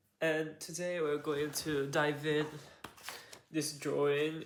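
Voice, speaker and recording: Audible room echo surrounds a man's fairly high-pitched voice. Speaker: video essayist. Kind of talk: explainer monologue. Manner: halting.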